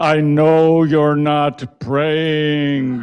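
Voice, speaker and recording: A put-on character voice delivers the lines with monotone, flat intonation. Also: man, fairly high pitch for a man. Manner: menacing.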